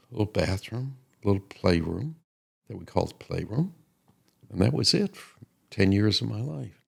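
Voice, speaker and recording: A man with a Chicago accent speaks with lively intonation and a somewhat breathy voice, leaving long, frequent pauses while his loudness swings widely. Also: fairly low pitch for a man, moderate pace. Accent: Chicago American. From US Midwest, Chicago. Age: 80s+. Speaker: podcast co-host, grandfather. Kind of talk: casual chat.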